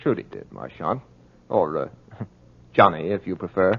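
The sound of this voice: In a put-on character voice, a man speaks low with big pitch swings, vocal fry and a slightly husky edge. His pace is moderate.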